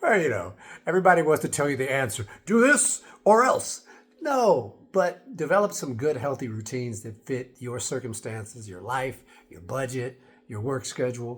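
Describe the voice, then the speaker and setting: A man with an American accent, somewhat breathy, at a moderate pace and with lively intonation. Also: medium pitch for a man. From United States. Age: 60s. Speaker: fitness and wellness vlogger. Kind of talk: casual vlog talk to camera. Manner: conversational, with fillers.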